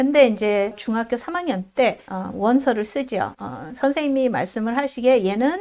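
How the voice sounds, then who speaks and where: Moderate-paced speech with lively intonation over noticeable background noise. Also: woman. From South Korea. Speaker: immigrant vlogger, IT worker. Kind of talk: casual vlog monologue.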